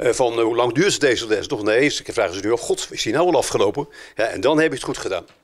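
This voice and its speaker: Against a quiet background, the speaker goes at a very fast pace. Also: man. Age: 70s. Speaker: teacher. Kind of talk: interview. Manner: halting. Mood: warm, content. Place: classroom. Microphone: handheld.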